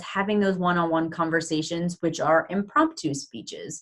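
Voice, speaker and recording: A woman speaks in a fairly low voice at a moderate pace. It is an ordinary speaking voice with fairly even intonation. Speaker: webinar moderator. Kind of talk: webinar Q&A moderation. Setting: online webinar.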